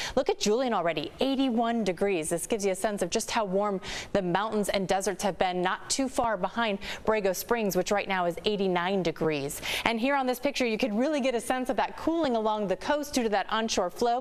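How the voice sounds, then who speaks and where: Her voice an unremarkable speaking voice, a woman moves at a fairly quick pace with a fairly high pitch, lively intonation and very even loudness. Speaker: news anchor and reporter. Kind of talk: TV weather forecast.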